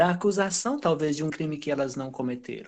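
A man with a southern Brazilian accent and fairly high pitch, ordinary pitch variation, music in the background. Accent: southern Brazilian, dragged R. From Brazil, raised by southerners (born in Pará). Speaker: lawyer and teacher. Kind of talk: interview. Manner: halting, many fillers.

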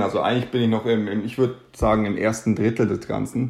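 A man talks at medium pitch with a dark, mellow tone. His intonation is fairly even, and the background is quiet. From Germany, Munich. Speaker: physiotherapist and doctoral student. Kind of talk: interview.

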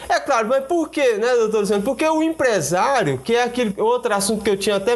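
Over noticeable background noise, a man talks at a fairly quick pace with lively intonation and an extremely high pitch. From Brazil, Goiás (Luziânia). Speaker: web radio host. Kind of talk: live interview. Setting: live stream studio.

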